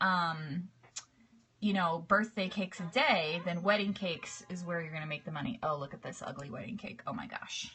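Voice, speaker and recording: With music in the background, a woman speaks at a medium pitch with ordinary pitch variation. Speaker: cake decorating teacher. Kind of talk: live stream tutorial. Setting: live video broadcast. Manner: relaxed.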